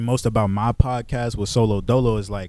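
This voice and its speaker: With an American accent, a man speaks at a moderate pace in an animated tone and a medium pitch. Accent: DC speech, code-switches by setting. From US, Washington DC (Northeast). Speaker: podcast co-host. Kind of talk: casual chat.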